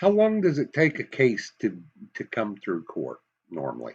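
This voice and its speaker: A man talks at a fairly slow pace with a Southern US accent. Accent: Southern US, slips into it. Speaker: political commentator. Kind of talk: commentary monologue. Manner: animated.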